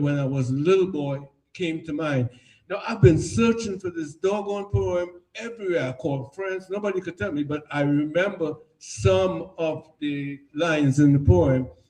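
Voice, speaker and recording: A man with a Trinidadian accent has a dark, mellow tone and fairly high pitch, speaking at a fairly slow pace with big swings in loudness. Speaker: artist. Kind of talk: artist talk at an exhibition.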